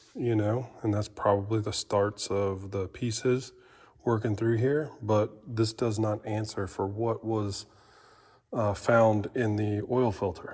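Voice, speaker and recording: Somewhat breathy and monotone with flat intonation, a man speaks at a very slow pace. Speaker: engine builder. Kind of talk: tutorial. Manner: halting; casual.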